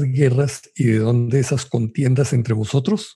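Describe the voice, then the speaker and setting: Pitched in the medium range, a man's voice has a dark, mellow tone and sounds somewhat breathy. He talks at a fairly slow pace with ordinary pitch variation. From Colombia. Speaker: Bible study panelist. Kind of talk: religious Bible study discussion.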